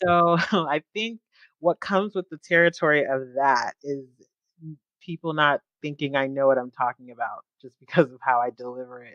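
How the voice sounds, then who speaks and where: A woman with a slight Southern California accent and very deep, low pitch speaks at a moderate pace with ordinary pitch variation and big swings in loudness, in a dry, close sound with no echo. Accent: slight Valley Girl. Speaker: security analyst. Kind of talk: podcast interview.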